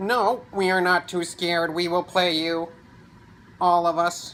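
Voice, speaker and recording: Putting on a character voice, a man talks in a high pitch at a fairly slow pace. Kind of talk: bedtime story. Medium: read story.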